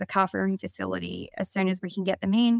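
A woman talks with an Australian accent. The sound is dry and close, without any echo. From Victoria, Australia. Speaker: dairy farmer. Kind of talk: webinar interview. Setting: video call webinar.

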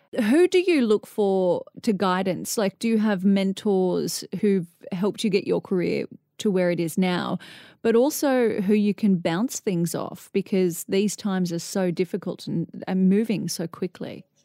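With an Australian accent and a dark, mellow tone, the speaker talks at a fairly slow pace with ordinary pitch variation, on a very clean recording with a silent background and a dry, close sound with no echo. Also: woman, medium pitch for a woman. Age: 30s. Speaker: podcast host. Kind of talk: interview; scripted narration.

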